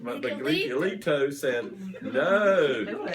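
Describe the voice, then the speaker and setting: Against noticeable background noise, a man speaks with an Eastern North Carolina accent. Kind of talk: children's story reading. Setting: family room, others interrupting. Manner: halting, stumbling over names.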